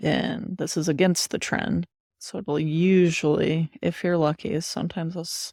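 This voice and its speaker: A quiet, dark, mellow voice at a fairly slow pace, with fairly even intonation, dry, close sound with no echo, and a very clean recording over a silent background. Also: woman. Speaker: crypto trader and streamer. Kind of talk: live trading commentary. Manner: quiet, low voice; casual, thinking aloud.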